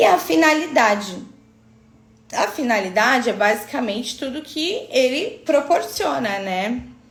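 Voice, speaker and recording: This woman's high voice moves in very wide pitch swings at a fairly slow pace. Noticeable background noise and audible room echo are present. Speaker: aesthetic physiotherapy instructor. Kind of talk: online live class. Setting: live stream.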